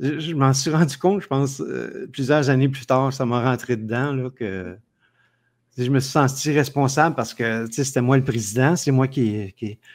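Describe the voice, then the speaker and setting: A man with a Quebec accent speaks at a medium pitch and moderate pace with ordinary pitch variation, on a very clean recording with a silent background. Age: 60s. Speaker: entrepreneur. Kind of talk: interview.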